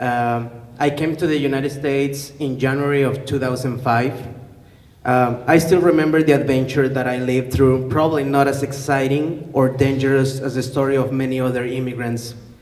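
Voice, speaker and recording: Amid noticeable background noise and audible room echo, a man with a Spanish accent speaks at medium pitch and a moderate pace in a monotone, flat intonation. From Mexico, León, Guanajuato. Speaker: teacher. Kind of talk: public talk, partly read aloud. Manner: hesitant, many fillers.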